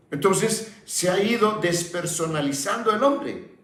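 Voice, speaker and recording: Audible room echo hangs around a man's speech. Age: 70s. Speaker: pastor. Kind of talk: sermon. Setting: broadcast sermon.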